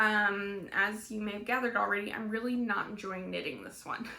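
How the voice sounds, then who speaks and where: A woman's fairly high voice, bright and sharp in tone, shows ordinary pitch variation against audible room echo. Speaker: knitting podcaster. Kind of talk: casual vlog chat. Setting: home, in front of sewing machine. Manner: halting, many fillers.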